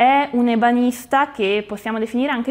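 Speaking fairly slowly in a Bergamasque accent, a woman uses ordinary pitch variation. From Bergamo area, Lombardy, Italy; Lombardy, Italy. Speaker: art and antiques presenter; presenter. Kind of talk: exhibition presentation. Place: shop.

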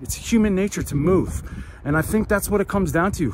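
A man at a very fast pace, with a high pitch and ordinary pitch variation, in a dry sound with no echo over light background noise. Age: 40s. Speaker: fitness vlogger. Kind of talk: casual vlog narration. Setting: outdoors at a running track.

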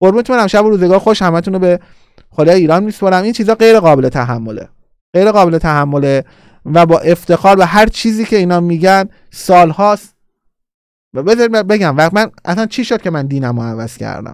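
A man talks at a very fast pace with lively intonation and an animated tone. The sound is dry with no echo, and the background is quiet. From Iran. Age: 40s. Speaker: political YouTuber. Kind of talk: live-streamed political commentary. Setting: live stream. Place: studio. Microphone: studio mic.

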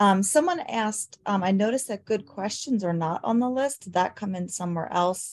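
Against a quiet background, a woman talks with ordinary pitch variation in a normal speaking voice. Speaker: webinar co-moderator. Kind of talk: reading chat comments aloud. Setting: video call. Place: home room. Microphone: webcam.

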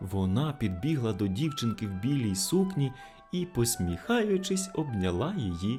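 Plain reading aloud, nothing more to it.

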